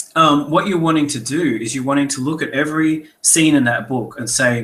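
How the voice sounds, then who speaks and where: A man with an Australian accent and a bright, sharp tone, at a moderate pace. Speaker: author and editor. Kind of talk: webinar talk. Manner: casual, conversational.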